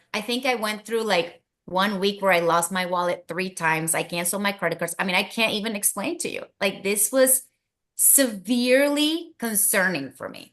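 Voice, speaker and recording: A woman with a Spanish accent, an animated tone, lively intonation, a medium pitch and a moderate pace, over a quiet background. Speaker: wellness product promoter. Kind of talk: casual chat.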